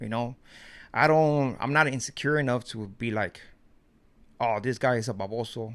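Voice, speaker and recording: A man with a Mexican accent, medium pitch and fairly even intonation at a moderate pace, in a very clean recording with a silent background. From Mexico. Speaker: YouTuber, commentary. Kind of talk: casual vlog commentary.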